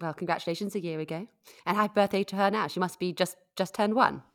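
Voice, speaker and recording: Loudness swings widely as a woman talks very fast at medium pitch with ordinary pitch variation. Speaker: podcast host. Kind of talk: casual interview. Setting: remote call. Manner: upbeat, friendly.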